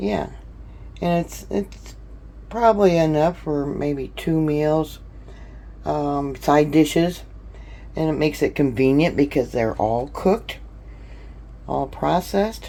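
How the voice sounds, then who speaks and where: A very slow pace with long, frequent pauses. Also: woman. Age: 60s. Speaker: home canning vlogger. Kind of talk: casual tutorial. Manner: chatty, with many fillers.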